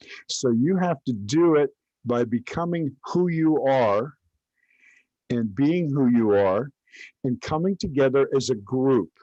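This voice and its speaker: In a Southern US accent, a man speaks at a fairly slow pace and a fairly high pitch, his dark, mellow voice carrying lively intonation in a dry, close sound with no echo. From Kentucky. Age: 70s. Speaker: religious teacher. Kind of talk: online class. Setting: live stream. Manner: halting.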